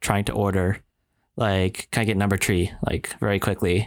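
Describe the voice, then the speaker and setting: In a Canadian accent, a man speaks at a moderate pace with fairly low pitch and an unremarkable speaking voice. The recording is very clean, with a silent background. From Canada. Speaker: podcast co-host. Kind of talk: casual chat.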